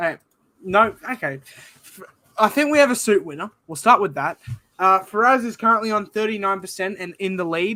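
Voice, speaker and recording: With an Australian accent, a high-pitched man uses a raised, projected voice and a bright, sharp tone at a moderate pace, with ordinary pitch variation and big swings in loudness. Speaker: sports podcast host. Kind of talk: casual chat.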